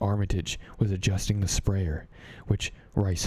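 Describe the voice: The text is read aloud in a plain manner.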